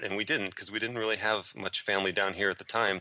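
A man with an American accent, fairly low-pitched, his tone bright and sharp. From US, Chicago then Florida. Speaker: writer and teacher living abroad. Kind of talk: interview.

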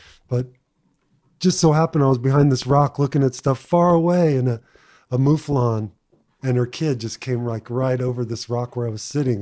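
The recording is very clean, with a silent background. The voice has a dark, mellow tone, a moderate pace and an American accent. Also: man. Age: 50s. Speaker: podcast host and fly fishing guide. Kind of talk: casual chat.

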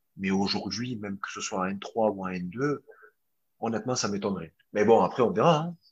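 A man's fairly low-pitched voice at a moderate pace, with ordinary pitch variation. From Marseille, southern France. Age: 20s. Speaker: footballer. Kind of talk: interview. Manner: halting.

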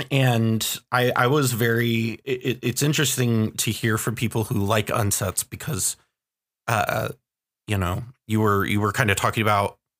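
A man speaks in an ordinary speaking voice at medium pitch, with fairly even intonation and a moderate pace. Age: 20s. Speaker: podcast host. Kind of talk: casual chat.

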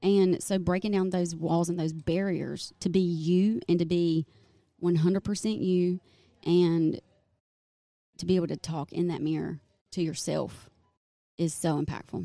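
A woman's fairly low, dark, mellow voice in a Southern US accent, fairly slow and fairly even in intonation, with long, frequent pauses. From North Carolina. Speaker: hairstylist and salon owner. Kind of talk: casual interview chat.

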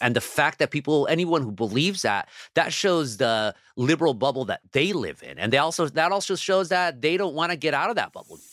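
A fairly high-pitched man's voice in an American accent, with lively intonation and vocal fry, on a very clean recording with a silent background. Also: fairly quick pace. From Southern California, Orange County (Anaheim). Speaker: newspaper columnist. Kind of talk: interview.

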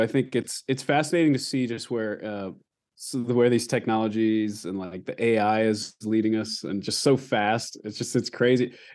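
A man of medium pitch with an American accent, an ordinary speaking voice, ordinary pitch variation and a moderate pace. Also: quiet background. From Alaska and Texas. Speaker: musician. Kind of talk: interview. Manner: casual, with fillers.

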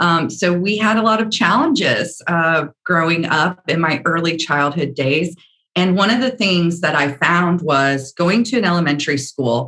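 With an American accent, a woman speaks at a moderate pace with hardly any pauses, her fairly low pitch carrying a bright, sharp tone, lively intonation and very even loudness. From US Deep South. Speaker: media executive. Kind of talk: interview conversation.

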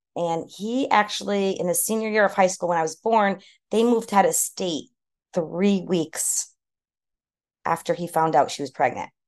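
Over a quiet background, a woman with an American accent and an unremarkable speaking voice talks at a moderate pace, with medium pitch and ordinary pitch variation. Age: 50s. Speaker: hairstylist and salon owner. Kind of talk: personal testimony in interview.

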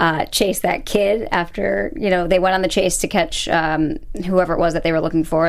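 A woman speaks in a normal speaking voice at a fairly low pitch. Her pace is moderate and her intonation fairly even. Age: 20s. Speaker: TV aftershow podcast host. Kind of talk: casual chat.

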